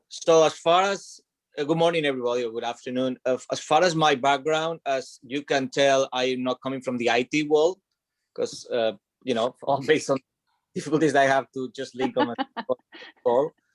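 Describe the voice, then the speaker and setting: A man with a Spanish accent, fairly high pitch and ordinary pitch variation, at a moderate pace, in a dry, close sound with no echo. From Spain. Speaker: franchise owner, former corporate employee. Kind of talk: panel discussion. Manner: halting.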